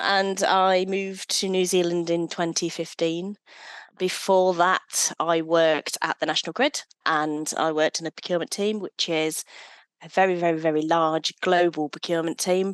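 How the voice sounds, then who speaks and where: Over a quiet background, a woman with an English accent speaks at a moderate pace in a monotone, flat intonation, the sound dry and close with no echo. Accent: English accent noticeable. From English Midlands, Leicestershire (Hinckley). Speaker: sustainable procurement professional. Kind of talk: podcast interview.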